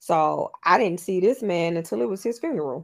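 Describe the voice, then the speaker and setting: Speaking at a moderate pace in a normal speaking voice with an American accent, this speaker has lively intonation on a very clean recording with a silent background. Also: woman. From Miami, Florida. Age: 30s. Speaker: podcast co-host. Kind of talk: casual chat.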